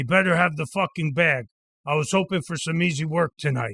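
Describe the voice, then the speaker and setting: A man does a put-on character voice that is raspy and fairly high in pitch, with ordinary pitch variation at a fairly quick pace. The recording is very clean with a silent background and has a dry, close sound with no echo. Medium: read story. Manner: terse, gruff.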